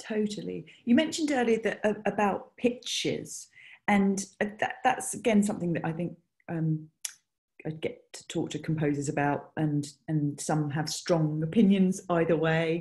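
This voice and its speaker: Fairly low, somewhat breathy woman's voice with a British accent, lively intonation and a fairly slow pace. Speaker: music supervisor. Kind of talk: interview. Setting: video call.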